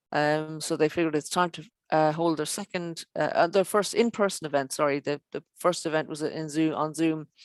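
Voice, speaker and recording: A woman with an Irish accent speaks at a fairly quick pace with a very deep, low pitch. Her intonation is fairly even, and the sound is dry and close with no echo. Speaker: show presenter. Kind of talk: online show presenting. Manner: halting, many fillers.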